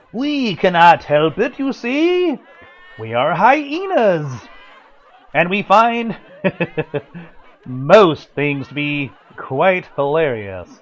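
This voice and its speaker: Putting on a character voice, a man speaks at a very slow pace with a high pitch, very wide pitch swings, and long, frequent pauses. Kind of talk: radio drama performance. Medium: audio drama. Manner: jolly, laughing.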